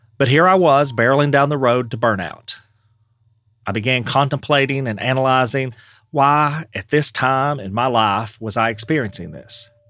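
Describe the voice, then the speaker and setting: A normal speaking voice with an American accent, moving at a moderate pace with ordinary pitch variation. The recording is very clean, with a silent background. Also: man, medium pitch for a man. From East Tennessee, US South. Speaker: podcast host and creator. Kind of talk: scripted narration.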